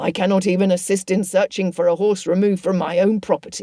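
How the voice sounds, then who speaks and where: A raspy, put-on character voice at middle pitch, monotone and flat, at a very fast pace. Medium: read story. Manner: dry, resigned.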